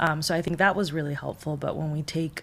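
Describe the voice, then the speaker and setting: A woman with a Spanish accent speaks at a fairly quick pace in a very deep, low pitch. Her voice has vocal fry and fairly even intonation. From Mexico. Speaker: behavioral health counselor. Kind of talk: podcast interview.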